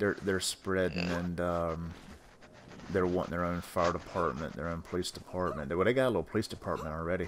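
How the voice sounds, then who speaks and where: Speaking at a very fast pace, a man with an American accent has a very deep, low pitch. His intonation stays fairly even. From North Carolina, US South. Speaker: podcast host, gamer. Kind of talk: casual chat.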